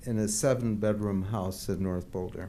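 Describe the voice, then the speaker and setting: A man speaks at a moderate pace with a dark, mellow tone. There is audible room echo. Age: 80s+. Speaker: public commenter, retiree. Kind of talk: public comment at council meeting. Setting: city council meeting.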